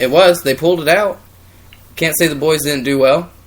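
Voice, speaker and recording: A man talks at a very fast pace in a fairly high pitch. Noticeable background noise is present. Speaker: wrestling podcast co-host. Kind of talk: casual chat. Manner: loud.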